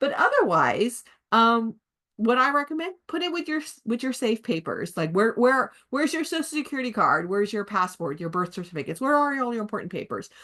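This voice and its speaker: Quiet surrounds this voice. The delivery comes at a fairly quick pace. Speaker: legal planning presenter. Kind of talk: educational presentation. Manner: fast.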